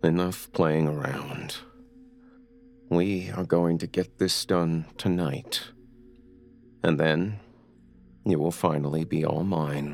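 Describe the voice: A man uses a put-on character voice, extremely low in pitch with vocal fry and a slightly mellow tone. He speaks at a slow pace with fairly even intonation and long, frequent pauses.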